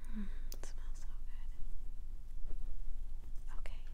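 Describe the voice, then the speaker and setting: The woman's delivery comes at a fairly slow pace. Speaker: ASMR artist, author and oracle card reader. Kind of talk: ASMR crystal tapping and soft whispered reading. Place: home room. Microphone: phone near.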